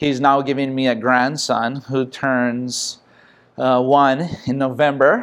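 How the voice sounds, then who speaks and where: With a Hawaiian accent, a man at medium pitch speaks at a very slow pace against a quiet background. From Hawaii, Makaha (Oahu west side). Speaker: pro surfer. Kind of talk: interview.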